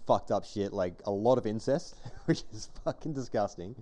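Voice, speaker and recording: At a moderate pace, a man with an Australian accent speaks in a dark, mellow tone. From Western Australia, Armadale (Perth). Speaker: podcast host. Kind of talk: casual chat.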